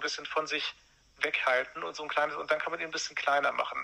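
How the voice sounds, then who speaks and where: A man talks with a fairly high pitch in a monotone, flat way. Noticeable background noise can be heard. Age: 40s. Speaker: former brain researcher advising on medication withdrawal. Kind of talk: interview.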